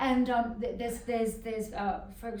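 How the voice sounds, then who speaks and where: A woman speaks with audible room echo. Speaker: fashion journalist and magazine editor. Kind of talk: casual interview chat. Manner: animated.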